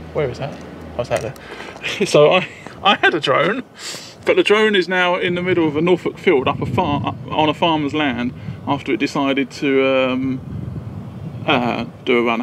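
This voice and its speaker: This man talks at a moderate pace with ordinary pitch variation, long, frequent pauses, noticeable background noise and a dry sound with no echo. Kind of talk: casual vlog chat. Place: open country. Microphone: phone near.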